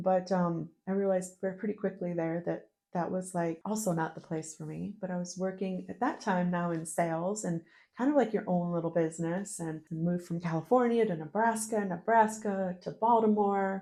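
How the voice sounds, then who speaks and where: With a dark, mellow tone and medium pitch, a woman talks at a moderate pace and fairly even intonation in an Inland North American accent. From US Northeast, northern New York State. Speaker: podcast guest. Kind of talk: casual interview, personal life story.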